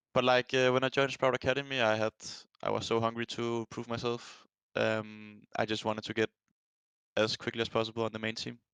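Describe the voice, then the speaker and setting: A man with a Danish accent, medium-pitched and monotone with flat intonation, at a fairly quick pace against a quiet background. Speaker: professional esports player. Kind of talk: interview. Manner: halting, many fillers.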